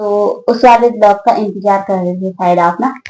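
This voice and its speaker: A woman talks in a fairly high voice with fairly even intonation, keeping a moderate pace. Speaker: vlogger. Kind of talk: casual Q&A vlog chat. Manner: loud.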